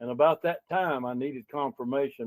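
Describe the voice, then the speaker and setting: With a Southern US accent, a man talks at a fairly quick pace in a fairly even intonation. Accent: Southern US (Georgia). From Georgia, US. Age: 70s. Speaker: local political candidate, retired business owner. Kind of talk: interview. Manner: halting, with many fillers.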